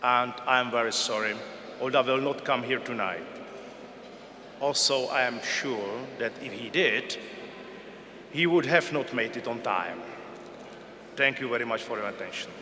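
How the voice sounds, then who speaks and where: A man talks with long, frequent pauses. Noticeable background noise and audible room echo fill the recording. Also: medium pitch for a man, fairly even intonation, moderate pace. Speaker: intelligence service director. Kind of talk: tribute speech. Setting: gala dinner hall.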